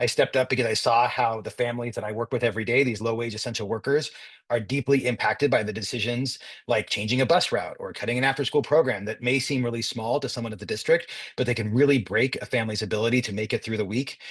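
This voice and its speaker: An American accent marks this somewhat breathy male voice. He talks at a very fast pace with fairly even intonation. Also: medium pitch for a man. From Southern California, San Diego area. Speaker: school board candidate and union leader. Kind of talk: endorsement interview.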